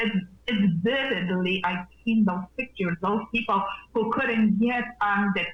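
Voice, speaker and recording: In a Polish accent, a woman talks at a very slow pace and medium pitch. Her pitch varies in an ordinary way against noticeable background noise. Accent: non-native English, Polish. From Poland. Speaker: nurse and wellness practitioner. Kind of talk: interview. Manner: animated.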